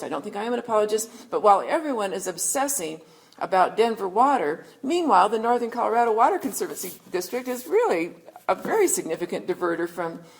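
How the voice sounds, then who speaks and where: Over noticeable background noise, an animated woman with a fairly high voice talks very fast, with very wide pitch swings and big swings in loudness. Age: 60s. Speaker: historian and author. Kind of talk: book talk Q&A answer.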